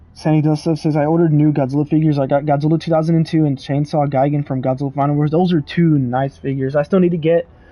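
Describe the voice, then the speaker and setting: This man talks at a very fast pace with hardly any pauses and a fairly high pitch. His loudness stays very even and his intonation is monotone, flat. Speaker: gaming streamer. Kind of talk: live gameplay commentary and chat reading. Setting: livestream. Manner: casual, fast.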